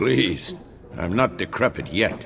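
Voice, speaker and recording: A man performs a put-on character voice with a raspy sound. Clear background noise can be heard. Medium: video game.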